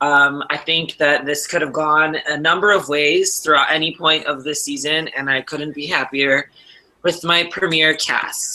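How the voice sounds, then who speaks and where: Someone with a Wisconsin accent speaks at a moderate pace. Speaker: game show host. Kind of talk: hosting an online game show.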